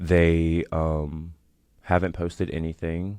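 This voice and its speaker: A man speaks in a very deep, low voice with flat, monotone intonation against a quiet background. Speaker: podcast host. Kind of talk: casual vlog chat. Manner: filler-heavy, many likes.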